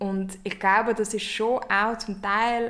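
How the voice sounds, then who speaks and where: A woman's medium-pitched voice in a flat monotone. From Switzerland. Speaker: podcast host and company founder. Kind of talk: casual chat.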